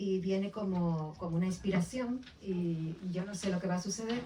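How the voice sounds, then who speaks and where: Noticeable background noise sits behind a woman's voice. Her pitch is fairly low and her intonation fairly even. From Canary Islands (Las Palmas de Gran Canaria). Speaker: author. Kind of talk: book presentation interview. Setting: bookshop event with audience. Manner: hesitant, with fillers and repetitions.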